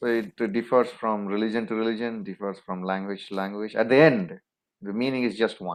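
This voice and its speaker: Speaking in a Tamil accent, a man keeps a fairly quick pace, a fairly low pitch and fairly even intonation. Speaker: interview guest. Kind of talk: interview.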